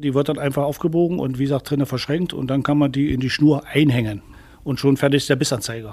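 This man has an ordinary speaking voice, pitched fairly high, with fairly even intonation. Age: 60s. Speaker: youth angling instructor. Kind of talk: tutorial.

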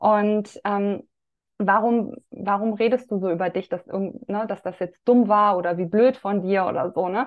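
The delivery is fairly slow. It is a normal speaking voice, and its pitch variation is ordinary. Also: woman. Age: 30s. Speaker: women's health coach. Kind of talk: casual chat.

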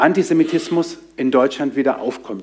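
A man with a fairly high pitch and a dark, mellow tone talks at a moderate pace, his intonation lively and his tone passionate. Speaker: pastor and podcast host. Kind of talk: sermon. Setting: church service with congregation.

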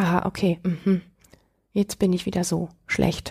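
A woman's somewhat breathy voice carries a dark, mellow tone, moving at a moderate pace. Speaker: podcast host, self-worth coach. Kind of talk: advice monologue. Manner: smiling, warm.

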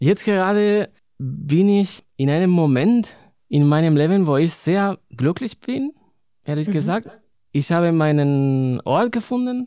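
Fairly slow and with lively intonation, a man speaks in a high, dark and mellow voice with a Spanish accent. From Spain, Madrid. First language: Spanish (speaking German). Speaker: poet and librarian. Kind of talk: interview.

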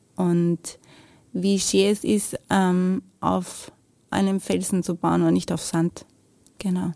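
The speaker talks very slowly with long, frequent pauses, very even loudness and a slight Viennese accent. The recording is very clean, with a silent background and a dry, close sound with no echo. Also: woman. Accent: Viennese-area Austrian German, little dialect. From Lower Austria, near Vienna. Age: 30s. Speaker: mother and business owner. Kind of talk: testimony interview. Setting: studio.

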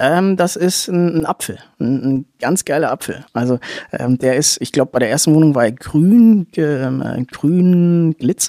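Speaking at a fairly slow pace, the man has a fairly high pitch and a dark, mellow tone. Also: ordinary pitch variation, dry, close sound with no echo. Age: 20s. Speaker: small property investor. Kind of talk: interview.

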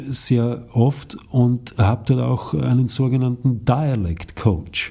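This man has a dark, mellow tone and a medium pitch. His voice is somewhat breathy, with ordinary pitch variation. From Lower Austria. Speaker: actor and acting teacher. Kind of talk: interview.

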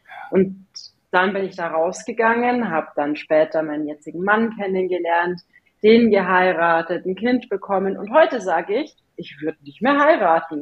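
A woman speaks at a medium pitch and a moderate pace, an ordinary speaking voice. Her intonation is lively, with big swings in loudness. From Bavaria, Germany (Regensburg area). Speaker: agency founder and CEO. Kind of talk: interview conversation.

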